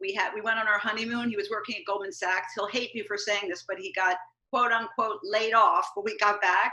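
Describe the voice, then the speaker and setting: A woman with a normal speaking voice talks at a fairly quick pace and a medium pitch with ordinary pitch variation. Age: 60s. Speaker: marketing and communications consultant. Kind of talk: casual interview.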